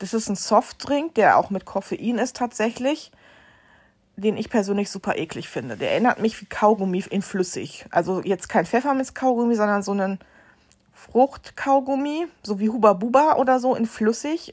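On a very clean recording with a silent background, a woman speaks at a moderate pace in a plain, everyday voice with a fairly high pitch and lively intonation. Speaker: podcast host. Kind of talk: casual monologue.

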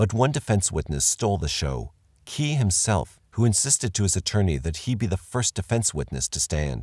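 A man talks at a moderate pace with a fairly low pitch, vocal fry and very wide pitch swings. The sound is dry and close, with no echo. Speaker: true-crime narrator. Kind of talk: true-crime documentary narration. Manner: even and factual, newsreader-like.

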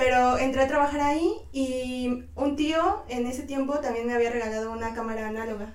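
A woman's high-pitched voice with hardly any pauses, amid noticeable background noise and audible room echo. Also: ordinary pitch variation, fairly quick pace. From Mexico, Tlaxcala. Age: 20s. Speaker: photojournalist. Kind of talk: casual interview chat.

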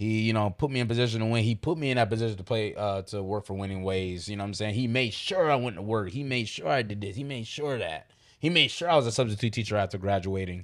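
A man with an American accent talks at a very fast pace with hardly any pauses. His fairly low pitch has ordinary variation, on a very clean recording with a silent background. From New York. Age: 30s. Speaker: youth basketball tournament organizer. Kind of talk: casual interview chat.

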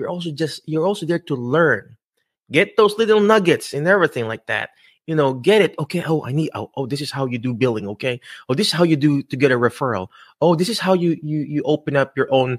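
Speaking at a very fast pace with a Filipino accent, a man with a fairly high pitch uses lively intonation and an animated tone, in a dry, close sound with no echo and a very clean recording with a silent background. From Philippines. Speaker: physical therapist and career coach podcast host. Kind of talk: live-streamed interview show. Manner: animated, filler-heavy.

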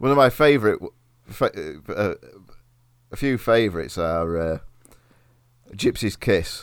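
In an East Midlands accent, a man talks at a fairly slow pace, his fairly low pitch carried by lively intonation. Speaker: podcast host. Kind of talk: casual banter about history. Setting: eating while recording.

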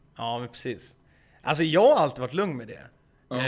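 Recorded very cleanly against a silent background, a man talks at a fairly high pitch. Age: 20s. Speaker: YouTuber and gaming streamer. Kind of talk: casual chat.

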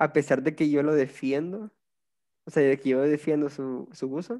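A man is talking here. The tone he uses is mellow and dark. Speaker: podcast host. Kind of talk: casual chat.

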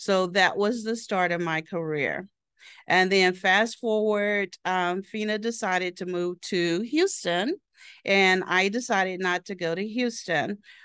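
In an American accent, a woman talks at a fairly slow pace with fairly even intonation. She has a plain, everyday voice of medium pitch. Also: quiet background. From southeastern Oklahoma. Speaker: human resources director, military veteran. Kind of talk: casual interview. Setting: office.

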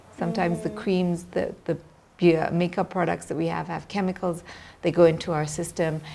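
A woman's fairly low voice, flat and monotone, at a moderate pace over noticeable background noise. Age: 40s. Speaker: media personality. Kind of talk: interview.

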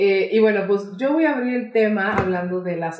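In an animated tone, a woman speaks at a moderate pace and a fairly high pitch with a Mexican accent. Room echo is audible. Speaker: podcast co-host. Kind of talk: casual chat.

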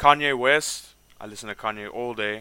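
With a South African accent, a man speaks at a fairly quick pace in a medium-pitched voice with a bright, sharp tone and ordinary pitch variation. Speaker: rapper and podcast host. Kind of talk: casual chat. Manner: casual, laughs often.

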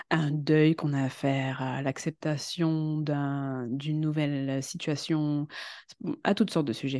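A woman speaks at a fairly slow pace with a very deep, low pitch and fairly even intonation over a quiet background. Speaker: web writer and voice-over actress. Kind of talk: casual chat. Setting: studio. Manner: halting.

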